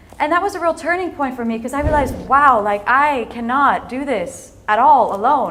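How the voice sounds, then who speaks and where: With an American accent and an animated tone, a woman speaks at a high pitch and a moderate pace, with audible room echo. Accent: sounds American. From Netherlands, raised in several countries at American schools. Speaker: entrepreneur and speaker. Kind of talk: inspirational talk.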